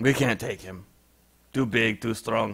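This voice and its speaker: Putting on a raspy character voice, a man speaks at medium pitch and a fairly slow pace. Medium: actual play. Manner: broken, clipped speech.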